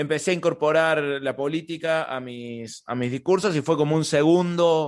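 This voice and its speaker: Over a quiet background, a man with a Córdoba Argentine accent speaks at a moderate pace in a fairly high pitch. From Argentina, Córdoba. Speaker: stand-up comedian. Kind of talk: interview. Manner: halting, many repetitions.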